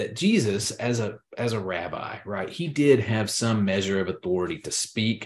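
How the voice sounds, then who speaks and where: Here is a normal speaking voice from a man with a fairly low pitch. His pace is moderate. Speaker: podcast host. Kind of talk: casual religious discussion podcast.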